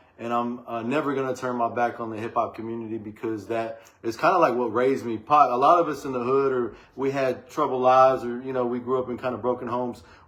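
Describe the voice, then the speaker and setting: Over noticeable background noise, a man with an American accent talks at a very fast pace in a medium pitch with fairly even intonation. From Texas, Waco. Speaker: rapper and songwriter. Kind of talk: casual podcast interview. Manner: clear enunciation.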